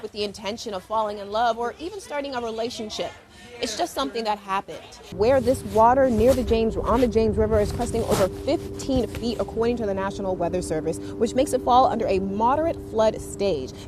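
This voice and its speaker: Music sounds in the background. A woman talks over it at a fairly quick pace. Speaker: TV news anchor and reporter. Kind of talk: TV news read. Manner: confident.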